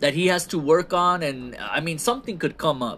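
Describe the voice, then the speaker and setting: At a fairly quick pace, a man speaks in a high pitch with a bright, sharp tone. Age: 30s. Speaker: wrestling podcast host. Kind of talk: solo podcast monologue reviewing wrestling shows. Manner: casual, self-described halting conversational skills.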